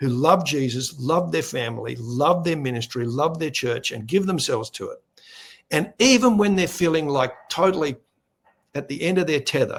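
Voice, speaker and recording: In a very clean recording with a silent background, a somewhat breathy man with an Australian accent and a fairly high voice speaks at a fairly quick pace with lively intonation. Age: 60s. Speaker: ministry leader and media presenter. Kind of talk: interview.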